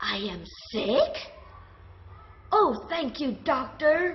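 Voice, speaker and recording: A woman puts on a character voice with a high pitch. She speaks at a very slow pace. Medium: read story. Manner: fretful, melodramatic.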